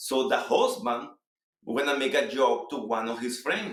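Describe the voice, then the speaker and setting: A man with a Salvadoran accent, fairly high in pitch, with an animated tone and lively intonation. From El Salvador. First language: Spanish. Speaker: real estate agent. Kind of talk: interview.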